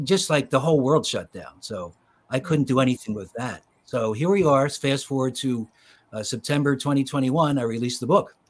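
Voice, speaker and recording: With a normal speaking voice, a man at medium pitch speaks in an American accent at a moderate pace with ordinary pitch variation. The recording is very clean, with a silent background. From Philadelphia suburbs, US. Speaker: children's author. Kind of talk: interview conversation.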